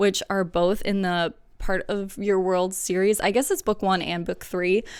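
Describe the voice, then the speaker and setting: A woman at a medium pitch on a very clean recording with a silent background. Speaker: book vlogger. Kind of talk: casual chat. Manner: fast; casual, many fillers.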